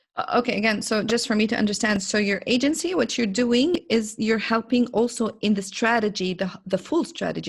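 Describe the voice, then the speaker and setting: Vocal fry and an Arabic accent at a moderate pace over a quiet background. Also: woman. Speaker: podcast host, business coach. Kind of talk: interview. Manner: hesitant, searching for words.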